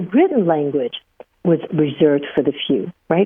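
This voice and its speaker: A woman speaks with a Chinese accent and lively intonation. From Taiwan, moved to US at about nine. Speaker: professor. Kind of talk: interview.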